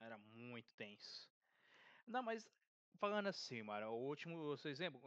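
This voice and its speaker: A man talks at a fairly quick pace with lively intonation and a bright, sharp tone. The sound is dry and close, with no echo. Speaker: podcast host. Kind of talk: casual chat.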